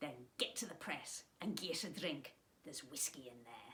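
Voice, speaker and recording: Here is a put-on character voice in a Scottish accent, pitched low-to-middle. The pace is moderate. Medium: read story. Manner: demanding, cheeky.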